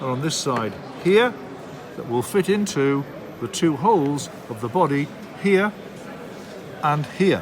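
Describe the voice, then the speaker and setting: Amid noticeable background noise, a man with a fairly high voice speaks very slowly, his pitch swinging very widely. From Darlington, England. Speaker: model railway live steam instructor. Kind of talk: hobby tutorial demonstration. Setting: model rail show.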